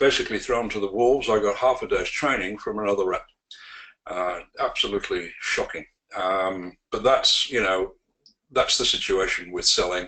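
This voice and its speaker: Moderate-paced speech from a man in a British accent. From UK. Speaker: sales trainer. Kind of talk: webinar presentation. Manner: hesitant, many fillers.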